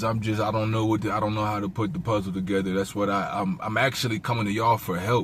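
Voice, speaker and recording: The man's voice comes out somewhat breathy. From South Jersey, Cumberland County. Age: 20s. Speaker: homeless vlogger. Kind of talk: casual vlog monologue. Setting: in a car. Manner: halting, repetitive fillers.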